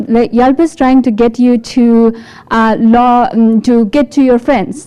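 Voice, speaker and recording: A woman talks with an Afghan accent. Her pitch is fairly high and her pace fairly slow. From Afghanistan. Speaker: developer support engineer. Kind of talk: tech talk. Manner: halting.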